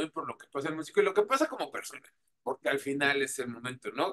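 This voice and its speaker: A man speaks at a very fast pace with a Mexican accent and a bright, sharp tone over light background noise. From Mexico. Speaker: radio host and interviewer; radio host, interviewer. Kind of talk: casual interview. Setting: remote video call.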